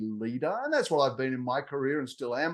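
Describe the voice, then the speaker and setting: A man with an Australian accent talks at a fairly quick clip, his pitch moving in an ordinary way against a quiet background. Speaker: technology executive and consultant. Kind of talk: interview.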